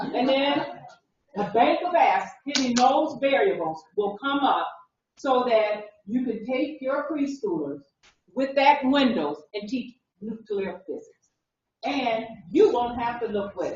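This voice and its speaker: A high-pitched woman speaks at a fairly slow pace in an animated tone, her pitch swinging very widely. She leaves long, frequent pauses, and room echo is audible. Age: 60s. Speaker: conference presenter on mobile learning. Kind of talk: conference session demo.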